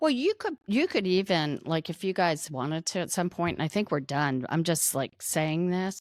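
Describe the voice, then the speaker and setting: On a very clean recording with a silent background, a woman speaks at a moderate pace with hardly any pauses, a fairly low pitch, ordinary pitch variation, and a dry, close sound with no echo. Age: 60s. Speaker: wealth management firm founder. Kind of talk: podcast interview. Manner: casual, halting with many fillers.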